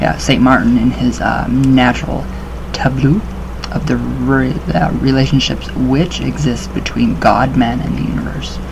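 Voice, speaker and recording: A man talks at a moderate pace. There is noticeable background noise. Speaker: occult-themed vlogger. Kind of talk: reading aloud with casual commentary. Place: home room. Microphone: webcam.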